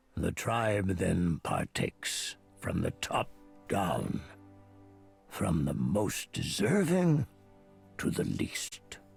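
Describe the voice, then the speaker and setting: A man uses a put-on character voice at a fairly low pitch, with very wide pitch swings. He speaks at a very slow pace with long, frequent pauses while faint music plays in the background. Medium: video game. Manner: slow, cryptic.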